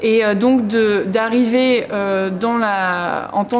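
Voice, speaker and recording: The room echo is audible as a woman talks. Her pitch is fairly high, with ordinary variation. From France, provinces. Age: 30s. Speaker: performance artist. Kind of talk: interview. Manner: loud; halting.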